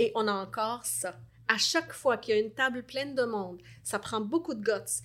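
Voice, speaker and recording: A woman's fairly high voice with vocal fry and ordinary pitch variation, in a very clean recording against a silent background. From Lebanon. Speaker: life coach. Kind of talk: interview.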